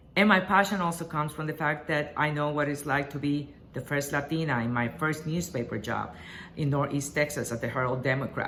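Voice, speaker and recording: A woman with a Spanish accent speaks at a fairly quick pace in a very deep, low pitch. Her pitch varies in an ordinary way, and room echo is audible. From Puerto Rico. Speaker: journalist and association board candidate. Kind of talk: campaign video address. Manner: hesitant, with many fillers.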